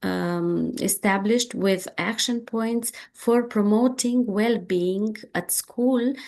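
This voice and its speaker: A woman speaks in a Romanian accent at a very slow pace. Her fairly high voice shows ordinary pitch variation. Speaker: education researcher. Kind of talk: lecture. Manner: halting, many fillers.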